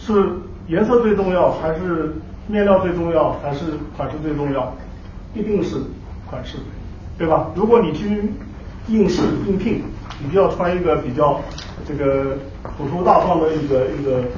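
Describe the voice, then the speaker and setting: A man with a high pitch for a man speaks at a moderate pace with ordinary pitch variation and long, frequent pauses. The room echo is audible, and there is light background noise. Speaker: professor. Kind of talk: lecture. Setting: stage with audience. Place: hall.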